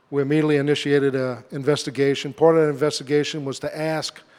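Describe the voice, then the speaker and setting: In a Southern Louisiana accent, a man with a fairly high pitch speaks at a fairly quick pace in monotone, flat intonation. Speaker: government safety engineer. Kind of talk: conference presentation. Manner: hesitant, many fillers.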